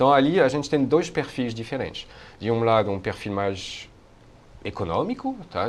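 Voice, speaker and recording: Here is a man with a medium pitch. He talks at a moderate pace with lively intonation. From France. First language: French (speaking Portuguese). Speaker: university researcher on Asia. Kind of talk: interview. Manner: hesitant, many fillers.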